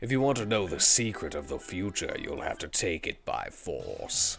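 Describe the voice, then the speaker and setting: A man's gravelly, put-on character voice at a moderate pace. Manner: ominous, threatening.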